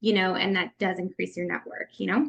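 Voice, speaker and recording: Pitch variation is ordinary in an ordinary speaking voice. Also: woman. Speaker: network marketing leader giving a training. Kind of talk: online training presentation.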